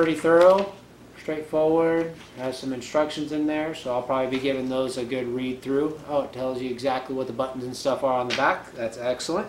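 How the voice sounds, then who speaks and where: A man at a fairly quick pace with fairly even intonation, audible room echo and light background noise. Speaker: reviewer. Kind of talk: unboxing review. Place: home room. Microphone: camera far.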